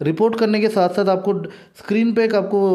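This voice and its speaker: A man's voice amid noticeable background noise. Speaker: gaming YouTuber. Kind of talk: casual video monologue.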